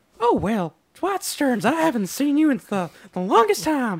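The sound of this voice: This put-on character voice has a fairly high pitch and very wide pitch swings, with a Southern accent as part of the act. The pace is moderate.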